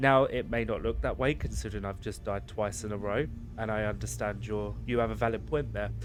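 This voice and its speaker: A man talks at a fairly quick pace, and room echo can be heard around his voice. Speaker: gaming YouTuber. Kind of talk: gameplay commentary. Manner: fast; animated.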